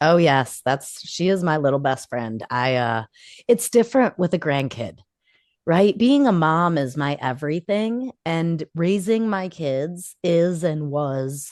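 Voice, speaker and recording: Loud, fairly low female voice at a fairly slow pace with very wide pitch swings. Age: 40s. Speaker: podcast co-host. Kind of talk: casual chat.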